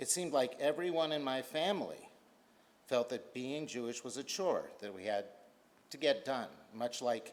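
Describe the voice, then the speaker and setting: Moderate pace and ordinary pitch variation. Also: man. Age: 60s. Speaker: synagogue member giving a donation appeal. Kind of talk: prepared speech.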